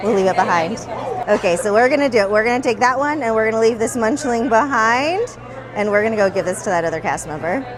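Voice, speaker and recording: Over crowd noise and audible room echo, a woman talks at a very fast pace in a fairly high voice with lively intonation. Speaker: theme park vlogger. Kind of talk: casual vlog narration. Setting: outdoors at a theme park.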